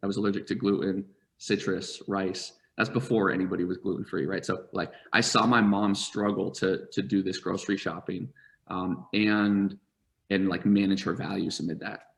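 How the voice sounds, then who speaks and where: A man with an American accent and an unremarkable speaking voice talks at a moderate pace with fairly even intonation, in a very clean recording with a silent background. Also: fairly low pitch for a man. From US Northeast, rural southern Vermont. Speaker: startup founder and CEO. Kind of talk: interview storytelling. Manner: many fillers and repetitions.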